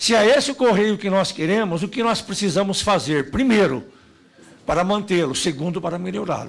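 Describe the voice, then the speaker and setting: This man's voice is high in pitch, moving at a moderate pace with ordinary pitch variation. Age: 50s. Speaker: union leader. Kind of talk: speech at a public hearing. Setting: parliamentary committee hearing. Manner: formal.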